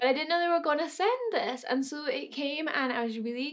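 Against a quiet background, a woman with a Scottish accent talks at a fairly quick pace with ordinary pitch variation. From Scotland. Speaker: beauty YouTuber. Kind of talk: casual talk to camera. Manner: chatty, enthusiastic. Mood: excited, enthusiastic. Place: home room.

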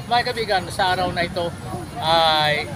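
Crowd noise sits in the background as a man with a high pitch talks. He keeps a fairly slow pace with ordinary pitch variation. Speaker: YouTube channel host and rally participant. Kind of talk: rally speech, earnest public address to fellow citizens and officials. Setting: outdoors at a rally. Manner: formal, polite, earnest; repeated 'po' and 'mga kaibigan', pleading tone; somewhat halting, with restarts and repeated words.

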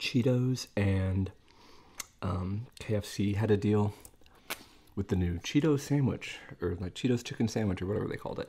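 The voice is somewhat breathy, with a dark, mellow tone and ordinary pitch variation. It moves at a moderate pace with long, frequent pauses. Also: man, fairly low pitch for a man. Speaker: food video creator. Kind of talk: casual vlog chat while eating. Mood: relaxed, chatty.

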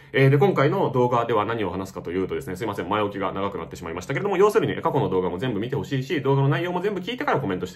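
Amid noticeable background noise and audible room echo, a man at medium pitch races along at a very fast pace with hardly any pauses and very wide pitch swings. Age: 30s. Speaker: YouTube film reviewer. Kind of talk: unscripted monologue commentary. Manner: halting, many fillers.

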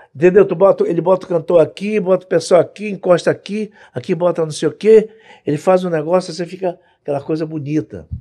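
Against a quiet background, a man talks at a fairly quick pace in a high pitch. His tone is dark and mellow, and his intonation stays fairly even. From Brazil, Rio de Janeiro. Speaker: music producer; podcast guest. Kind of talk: casual interview. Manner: halting, repeats words. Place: studio. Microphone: studio mic.

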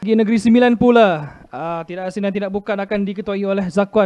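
A man with a Malaysian accent and a high pitch talks at a fairly quick pace in a dry, close sound with no echo. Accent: Malaysian Malay. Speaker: football commentator. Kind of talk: live football commentary. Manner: rapid-fire, clipped play-by-play; animated, exclaiming at near-misses.

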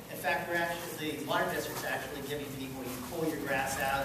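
A man speaks amid loud background noise and audible room echo. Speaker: landscape contractor and presenter. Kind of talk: presentation to a live audience. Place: meeting room. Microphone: camera far.

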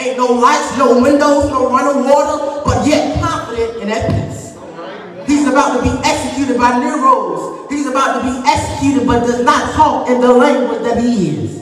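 Fairly even intonation with audible room echo and light background noise. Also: man, extremely high pitch for a man, moderate pace. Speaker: preacher. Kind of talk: funeral sermon, preaching to a congregation. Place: church. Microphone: camera far.

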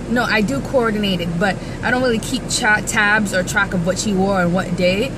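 A woman is speaking. Background noise is noticeable. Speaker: vlogger. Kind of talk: casual vlog chat. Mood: amused, storytelling, mildly exasperated. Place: car. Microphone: phone near.

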